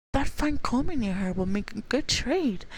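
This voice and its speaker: Squeaky and high-pitched, a woman does a put-on character voice with very wide pitch swings. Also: moderate pace. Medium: virtual streamer. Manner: sweetly wheedling.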